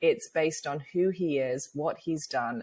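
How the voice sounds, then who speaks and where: With a British accent, a woman speaks at a fairly slow pace in a very deep, low pitch, her intonation lively. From England. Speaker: author and speaker, cancer survivor. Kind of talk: interview.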